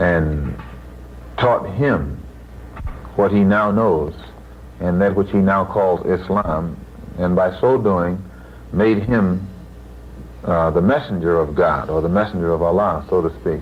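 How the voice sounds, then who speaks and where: A man with an American accent talks at a fairly slow pace and a very deep, low pitch, with ordinary pitch variation and very even loudness. Long, frequent pauses break his speech, and there is noticeable background noise. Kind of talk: interview answer. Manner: emphatic.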